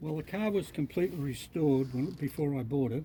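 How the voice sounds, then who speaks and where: Somewhat breathy and dark, mellow in tone, a man talks with an Australian accent and ordinary pitch variation. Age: 80s+. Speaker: classic car owner. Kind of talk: casual interview. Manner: halting.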